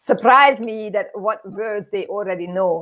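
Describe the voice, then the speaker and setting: Speaking at a fairly slow pace, a woman with a Hungarian accent uses a medium pitch with ordinary pitch variation. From Hungary. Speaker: immigrant interviewee. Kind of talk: interview. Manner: halting.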